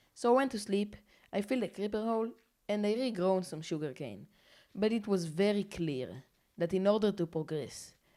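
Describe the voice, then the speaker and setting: In a very clean recording with a silent background, a woman with a non-native accent speaks at a moderate pace in a medium-pitched, dark, mellow voice with lively intonation. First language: not English. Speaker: gaming YouTuber. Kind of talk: narrated gameplay commentary. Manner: casual.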